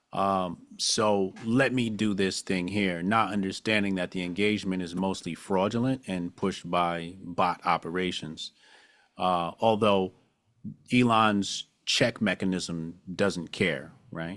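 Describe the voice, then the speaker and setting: Fairly slow speech with fairly even intonation in a very clean recording with a silent background. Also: man. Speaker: social media commentator. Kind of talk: podcast interview. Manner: plain-spoken.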